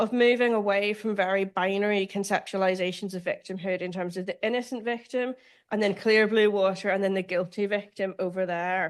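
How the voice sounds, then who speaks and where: A woman speaks in a Northern Irish accent at a fairly quick pace. Her pitch varies in an ordinary way against a quiet background. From Northern Ireland. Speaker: law professor. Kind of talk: lecture.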